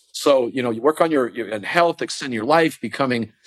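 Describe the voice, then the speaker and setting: This man has an ordinary speaking voice, with ordinary pitch variation and a moderate pace. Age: 60s. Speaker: entrepreneur and investor. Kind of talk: interview.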